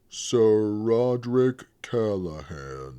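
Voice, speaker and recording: Using a put-on character voice, a man speaks at a fairly low pitch with very wide pitch swings. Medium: read story. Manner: gentle, plain-spoken.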